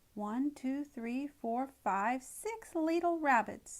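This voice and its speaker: A woman uses a put-on character voice pitched high. She talks at a very slow pace. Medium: read story. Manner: gloating, repetitive.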